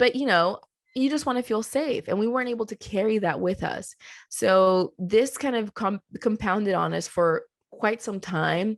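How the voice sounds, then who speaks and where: A woman speaks in a Spanish accent at a moderate pace, with ordinary pitch variation. The sound is dry and close with no echo, over a quiet background. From Colombia. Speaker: clothing company co-founder. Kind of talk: podcast interview.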